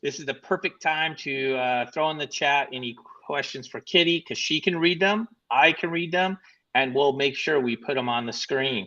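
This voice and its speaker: This man's voice is bright and sharp, pitched fairly high. He talks at a moderate pace with ordinary pitch variation. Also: dry, close sound with no echo. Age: 50s. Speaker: live stream co-host. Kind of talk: casual live stream chat. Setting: live broadcast from a beach bar.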